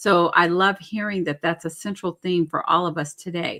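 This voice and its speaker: A woman's bright, sharp tone with ordinary pitch variation, at a moderate pace. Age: 60s. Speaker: webinar host. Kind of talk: webinar panel moderation.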